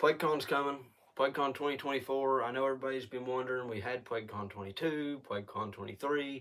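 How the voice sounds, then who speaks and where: Very fast speech with fairly even intonation. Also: man, medium pitch for a man. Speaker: channel owner, indie filmmaker. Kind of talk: live stream news briefing. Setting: live stream. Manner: hesitant, many fillers.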